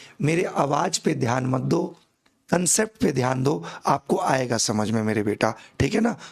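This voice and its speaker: Speaking at a fairly slow pace, a man keeps his loudness very even while his medium-pitched voice makes very wide pitch swings. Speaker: chemistry teacher. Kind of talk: online class lecture. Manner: slow, deliberate; animated, informal.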